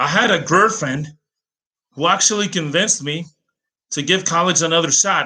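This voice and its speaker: Against a quiet background, a man with an American accent has a bright, sharp tone, lively intonation and a moderate pace. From Greece, Athens. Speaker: language teacher and translator. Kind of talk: personal story monologue. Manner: hesitant, many fillers.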